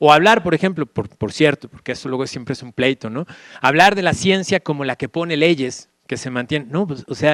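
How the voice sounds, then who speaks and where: A fairly high male voice at a fairly quick pace, with ordinary pitch variation, big swings in loudness, and a dry, close sound with no echo. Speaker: Jesuit philosophy professor. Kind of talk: lecture. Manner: fast.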